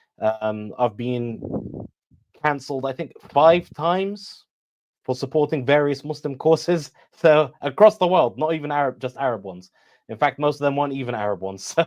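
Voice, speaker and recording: A man with a British accent speaks at a moderate pace. His fairly high voice has lively intonation. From Iraqi family, raised in Britain. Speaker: military science expert. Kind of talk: interview.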